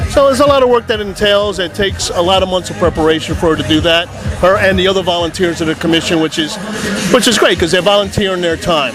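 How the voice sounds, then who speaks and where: With noticeable background noise behind him, a man speaks at a very fast pace in a high pitch, his intonation lively. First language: Spanish. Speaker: town councilman. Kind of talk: interview.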